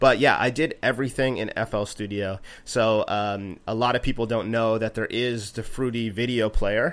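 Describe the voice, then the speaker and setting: With a Canadian accent, a man talks in a plain, everyday voice at a medium pitch. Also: moderate pace, hardly any pauses. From East Coast of Canada. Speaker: music producer and composer. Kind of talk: casual interview.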